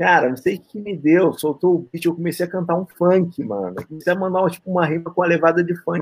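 A man's high-pitched voice. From Lapa, Rio de Janeiro, Brazil. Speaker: rapper. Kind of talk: casual interview.

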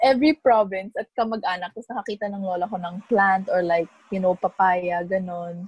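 A woman speaks at a medium pitch and a fairly quick pace with hardly any pauses and ordinary pitch variation, the sound dry and close with no echo. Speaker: podcast co-host. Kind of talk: casual chat. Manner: animated.

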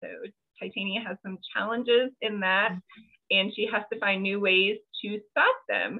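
In a normal speaking voice, a woman talks at a moderate pace with medium pitch and fairly even intonation. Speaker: podcast host and fiction author. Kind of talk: casual interview chat. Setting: video call.

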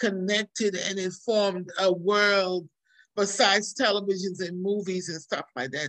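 A woman speaks in a normal speaking voice at a medium pitch. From New York, born in Trinidad. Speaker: nurse and nonprofit educator, author. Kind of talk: casual interview.

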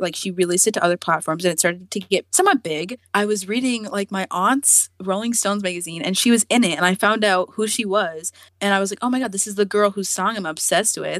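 With hardly any pauses, a woman speaks at a very fast pace, the sound dry and close with no echo. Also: medium pitch for a woman, ordinary pitch variation. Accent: American. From US, Virginia. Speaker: artist. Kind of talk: casual interview.

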